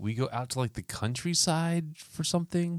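This man talks in a voice with pitch. It swings very widely from high to low. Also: dry, close sound with no echo. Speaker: podcast host. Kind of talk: casual chat. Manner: joking, casual.

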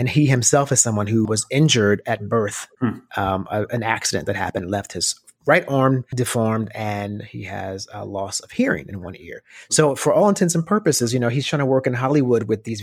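A man with an unremarkable speaking voice talks at a fairly quick pace, his pitch medium and its variation ordinary. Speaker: podcast host. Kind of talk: casual interview. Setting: video call.

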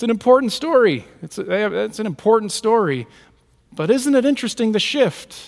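A man's high-pitched voice with lively intonation. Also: moderate pace, big swings in loudness. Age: 40s. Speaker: pastor. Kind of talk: sermon.

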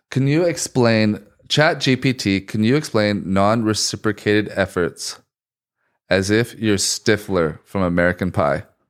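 A man's unremarkable speaking voice, fairly low and fairly slow, with lively intonation and very even loudness, in a very clean recording with a silent background. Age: 20s. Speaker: podcast co-host. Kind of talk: casual chat.

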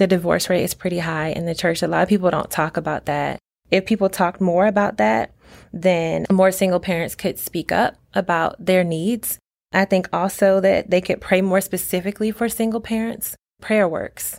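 A woman's normal speaking voice with an American accent, medium pitch, ordinary pitch variation and a moderate pace, on a very clean recording with a silent background. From Virginia, Norfolk. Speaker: school instructional assistant and parent. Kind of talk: interview about faith and testimony.

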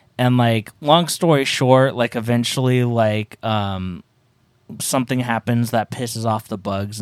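A man at a medium pitch with ordinary pitch variation and a moderate pace, in a very clean recording with a silent background and dry, close sound with no echo. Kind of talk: casual chat, angry rant. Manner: angry, profane, emphatic.

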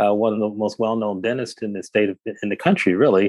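Delivery is fairly quick, with fairly even intonation. The sound is dry and close, with no echo. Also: man. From Detroit, Michigan. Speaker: physician. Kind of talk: interview. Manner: halting.

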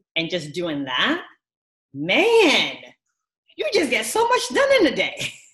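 Audible room echo surrounds a woman who speaks very slowly with long, frequent pauses. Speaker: sociology professor. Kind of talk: interview.

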